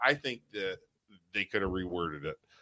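Bright and sharp in tone, a man with an American accent speaks fast-ish at a fairly low pitch, the sound dry and close with no echo. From Youngstown area, Ohio. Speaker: podcast co-host. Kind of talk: casual chat. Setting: studio.

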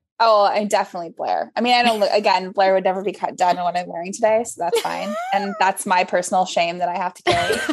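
Over noticeable background noise, a woman with a medium pitch races at a very fast pace with hardly any pauses and big swings in loudness. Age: 30s. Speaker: fashion editor. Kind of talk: casual chat. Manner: animated.

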